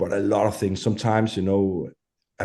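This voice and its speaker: A man speaks with a Danish accent in a fairly low pitch and a dark, mellow tone. His intonation is monotone and flat against a quiet background. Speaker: metal musician. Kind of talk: interview. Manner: halting.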